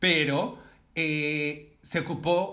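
A man's voice sits fairly high, with a bright, sharp tone. Audible echo fills the room. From Mexico, Oaxaca. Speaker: fashion designer. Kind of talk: casual chat.

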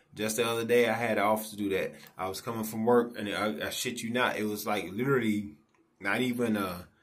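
A fairly quick pace marks this speech. It comes from a man. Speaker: vlogger. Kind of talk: casual vlog rant. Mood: frustrated, indignant. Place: home room. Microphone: phone near.

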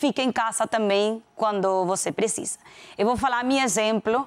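A woman with a Venezuelan accent talks fairly slowly at a fairly high pitch. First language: Spanish (speaking Portuguese). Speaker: corporate executive; guest. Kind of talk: interview. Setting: studio. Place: studio. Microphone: lapel.

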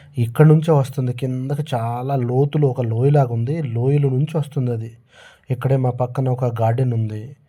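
Medium-pitched male voice, somewhat breathy, with a dark, mellow tone and fairly even intonation, on a very clean recording with a silent background. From Andhra Pradesh, India. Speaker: soldier and vlogger. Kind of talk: casual vlog narration. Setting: outdoors at night in the cold. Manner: halting.

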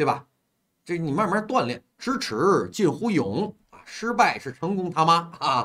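Over a quiet background, the voice is animated, bright and sharp, moving fairly slowly through very wide pitch swings and big swings in loudness. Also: man, high pitch for a man. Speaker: livestream host taking call-ins. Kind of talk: casual chat. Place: home room. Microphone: earbuds.

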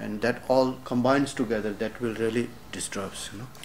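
Audible room echo surrounds a man speaking at a medium pitch in a monotone, flat intonation. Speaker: lama and Tibetan medicine teacher. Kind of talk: lecture. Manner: halting.

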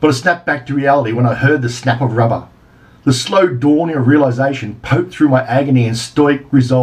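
Someone is doing plain reading aloud. The words are read out without anything added.

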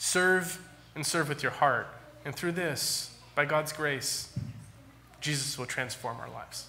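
Over light background noise, a man with an American accent talks at a very slow pace, his fairly high voice showing ordinary pitch variation. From California. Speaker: pastor. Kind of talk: sermon. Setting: church. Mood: earnest, gently appealing. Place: church. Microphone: podium.

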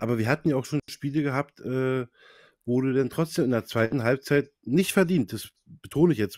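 At a moderate pace, a man speaks with ordinary pitch variation in a dry sound with no echo over a quiet background. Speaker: football fan insider; fan podcast host. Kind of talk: casual chat. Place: home room. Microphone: clear new mic; studio mic.

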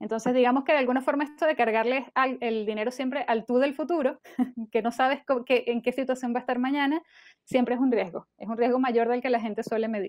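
A woman's high-pitched, very fast delivery with fairly even intonation, set against a quiet background. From Venezuela. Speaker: personal finance podcaster. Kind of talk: interview. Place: home room. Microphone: earbuds.

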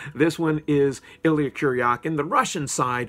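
The man talks at a moderate pace. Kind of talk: casual vlog chat. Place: home room. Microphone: phone near.

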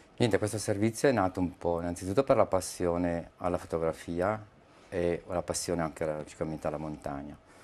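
A man speaks at a fairly quick pace. His pitch is very deep and low, with ordinary variation. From northern Italy, Lecco area (Mandello del Lario). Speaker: aerial photographer. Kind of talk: interview. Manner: halting, with many fillers and repetitions. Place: studio. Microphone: lapel.

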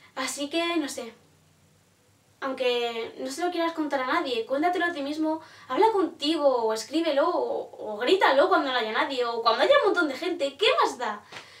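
Amid audible room echo, a woman speaks at a moderate pace with a high pitch and lively intonation. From Spain. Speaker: poet and vlogger; vlogger, poet. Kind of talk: casual vlog reflection. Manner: animated; hesitant. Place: home room. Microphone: phone near.

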